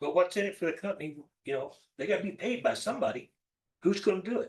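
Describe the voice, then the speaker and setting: A man's loud, high-pitched voice at a very fast pace, with lively intonation. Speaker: council member. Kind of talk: public meeting question. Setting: city council meeting.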